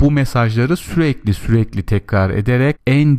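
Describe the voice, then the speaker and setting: Dark and mellow in tone, a man's voice carries lively intonation. The recording is very clean and the background is silent. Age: 40s. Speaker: podcast host, money advisor. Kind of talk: solo monologue.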